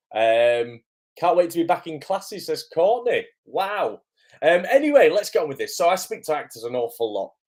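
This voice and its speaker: Speaking in a British accent at a moderate pace, a man uses a high pitch with very wide pitch swings. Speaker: acting coach. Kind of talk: live stream chat. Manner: hesitant, many fillers.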